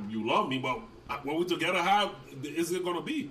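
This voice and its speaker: A man talks at a very fast pace in a raised, projected voice, his pitch swinging very widely over noticeable background noise. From Liberia. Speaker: father of the host giving advice. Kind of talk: casual family conversation. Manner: loud, forceful.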